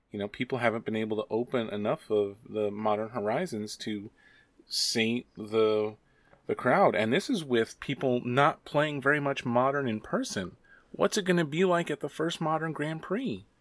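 In a very clean recording with a silent background, a man speaks with a normal speaking voice at a medium pitch and a moderate pace, his intonation lively. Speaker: teacher and guest co-host. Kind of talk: casual chat, podcast.

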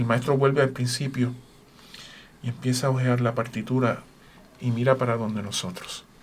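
A man speaks at a moderate pace in a medium pitch, his intonation monotone and flat. Long, frequent pauses break up his speech, and there is noticeable background noise. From Puerto Rico. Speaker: orchestra conductor and horn player. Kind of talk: radio interview. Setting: radio studio.

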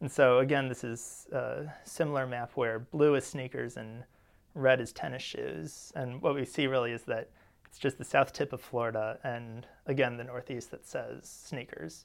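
A man's normal speaking voice with an American accent, medium in pitch, at a moderate pace with fairly even intonation and big swings in loudness, in a very clean recording over a silent background. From St. Louis, US Midwest. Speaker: linguistics graduate student. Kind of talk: expert analysis.

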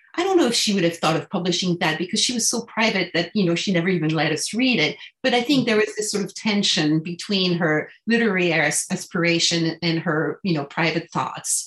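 With a French accent, a woman of medium pitch talks at a fairly quick pace with ordinary pitch variation and hardly any pauses. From France, Paris. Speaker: translator, author's daughter. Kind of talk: interview.

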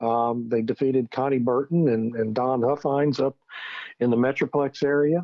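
In an unremarkable speaking voice, a man at a medium pitch talks at a moderate pace, with fairly even intonation and very even loudness. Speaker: magazine editor and energy analyst. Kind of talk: radio interview.

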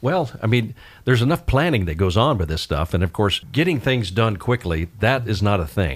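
A very clean recording has a silent background. The voice in it is somewhat breathy. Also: man, fairly low pitch for a man. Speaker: radio host. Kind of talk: radio interview. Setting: radio studio. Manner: fast talker.

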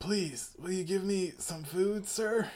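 A put-on character voice at a fairly slow pace and a middle pitch. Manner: pathetic, pleading.

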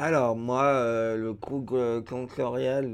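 Delivery runs at a very slow pace with fairly even intonation. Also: man. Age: 30s. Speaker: deafblind resident. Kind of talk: personal testimony. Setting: around a table. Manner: halting.

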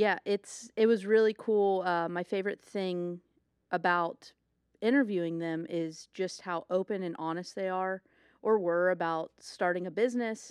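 A woman's plain, everyday voice in an American accent, fairly low in pitch, with ordinary pitch variation at a moderate pace, dry and close with no echo. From Ohio. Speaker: podcast co-host. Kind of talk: casual interview chat.

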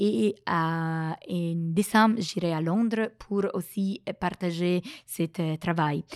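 A woman's very slow, fairly low voice with ordinary pitch variation, dry and close with no echo. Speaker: statistics researcher and lecturer. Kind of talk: interview. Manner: halting, many hesitations.

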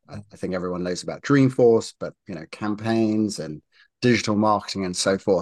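In a British accent, a man talks at a fairly low pitch against a quiet background. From UK. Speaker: marketing executive and investor. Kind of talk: interview conversation. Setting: video call.

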